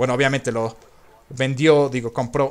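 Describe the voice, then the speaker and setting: With ordinary variation in pitch, the man talks at a moderate pace. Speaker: gaming youtuber. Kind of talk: gameplay commentary. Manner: halting, repetitive. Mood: relaxed, reflective. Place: home room.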